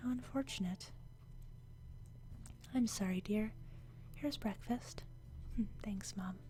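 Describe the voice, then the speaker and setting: Over noticeable background noise, a woman speaks softly. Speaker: gaming channel host. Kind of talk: quiet ASMR reading of a game's story. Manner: quiet, soft-spoken.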